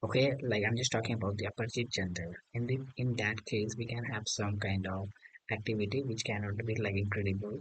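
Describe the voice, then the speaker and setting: Somewhat breathy male speech with fairly even intonation and an Indian accent. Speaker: English learner. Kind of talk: casual conversation practice. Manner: hesitant, many fillers.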